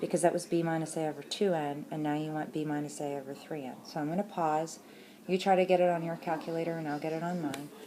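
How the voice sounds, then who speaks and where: A woman talks at a very fast pace in a very deep, low pitch, her intonation fairly even. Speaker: math teacher. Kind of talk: tutorial.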